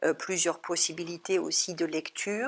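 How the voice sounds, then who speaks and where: A woman of fairly low pitch speaking at a fairly slow pace. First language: German (speaking French). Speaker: psychologist and psychoanalyst. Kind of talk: talk at an art gallery. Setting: art gallery talk. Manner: hesitant, many filler sounds.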